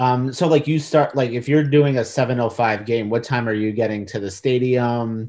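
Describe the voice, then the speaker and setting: A plain, everyday voice moves at a moderate pace with hardly any pauses and ordinary pitch variation. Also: man, medium pitch for a man. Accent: American. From New York. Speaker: podcast interviewer. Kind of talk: casual interview.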